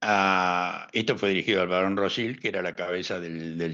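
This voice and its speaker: A man speaks in a La Plata accent with a very deep, low pitch and a bright, sharp tone. The background is quiet. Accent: Argentine, La Plata. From La Plata, Argentina. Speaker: historian and analyst. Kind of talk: interview answer.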